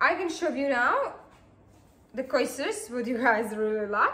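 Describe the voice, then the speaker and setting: A woman with a Slovak accent, a bright, sharp tone and lively intonation, at a very slow pace amid audible room echo. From Slovakia. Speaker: acrylic pouring artist. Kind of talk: tutorial. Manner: halting, many fillers.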